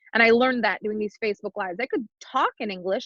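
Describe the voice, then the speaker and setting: A woman speaks very fast with a French Canadian accent, her fairly high voice bright and sharp in tone. The sound is dry and close, with no echo. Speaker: business coach. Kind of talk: podcast interview.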